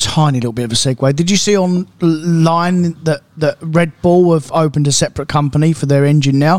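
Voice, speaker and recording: Speaking in a British accent, a man keeps a fairly quick pace with hardly any pauses. His pitch is fairly high and his intonation fairly even. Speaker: car dealer and podcast co-host. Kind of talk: casual chat.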